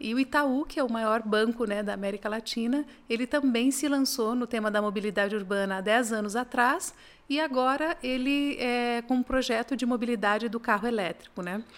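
A woman with a high pitch and ordinary pitch variation talks at a moderate pace, captured on a very clean recording with a silent background. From Paraná interior, Brazil. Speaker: automotive executive. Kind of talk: interview.

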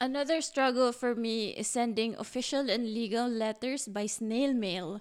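Speaking with a Filipino accent at a moderate pace with hardly any pauses, a woman uses a fairly high pitch and ordinary pitch variation on a very clean recording with a silent background. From Philippines. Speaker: podcast co-host. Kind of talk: casual chat.

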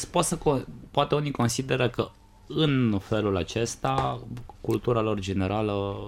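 At a fairly slow pace, a man with a fairly low pitch speaks in very wide pitch swings. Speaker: podcast co-host. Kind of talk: casual chat. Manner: stammering at times.

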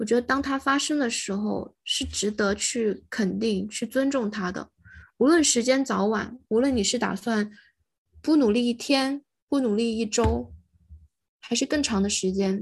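A woman talks at a fairly slow pace with ordinary pitch variation. Her voice is somewhat breathy against a quiet background. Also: fairly high pitch for a woman. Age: young. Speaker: podcast co-host. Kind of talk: casual chat.

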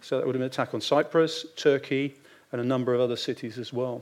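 Very fast and fairly even in intonation, a man with a British accent speaks at a medium pitch. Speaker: retired naval officer and strategic adviser. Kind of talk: panel discussion.

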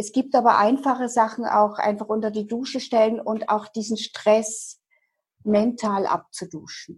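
Fairly slow, somewhat breathy speech with fairly even intonation. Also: woman. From eastern Germany, Dresden. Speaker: hypnotherapist. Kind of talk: interview.

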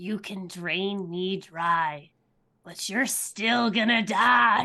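A woman's raspy, put-on character voice at a medium pitch, delivered at a very slow pace. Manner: through clenched teeth.

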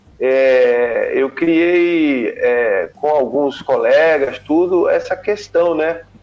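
Against noticeable background noise, a man speaks at a very slow pace with very even loudness and hardly any pauses. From Brazil, Rio de Janeiro then Pernambuco. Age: 40s. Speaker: surfer and wave forecasting expert. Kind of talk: casual interview. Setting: live stream.

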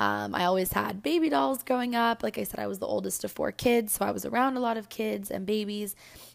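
The recording is very clean and the background silent. The words come at a fairly quick pace. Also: woman. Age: 20s. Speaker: podcast host. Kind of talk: casual monologue.

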